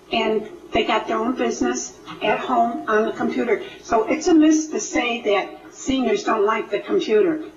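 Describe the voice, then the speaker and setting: A woman's high-pitched voice with very wide pitch swings, audible room echo and noticeable background noise. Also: moderate pace. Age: 70s. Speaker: audience member. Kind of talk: community discussion.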